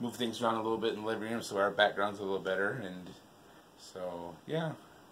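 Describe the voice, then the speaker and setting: Noticeable background noise behind a man talking fairly quickly. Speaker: vlogger and show host. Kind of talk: casual chat. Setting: living room, on a couch. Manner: loud; hesitant, many fillers.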